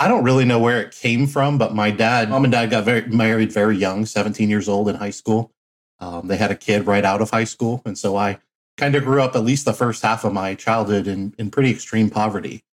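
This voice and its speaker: At a fairly quick pace, a man with a Midwestern American accent speaks in a fairly low pitch with fairly even intonation. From Flint, Michigan. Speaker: laundromat entrepreneur. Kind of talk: interview.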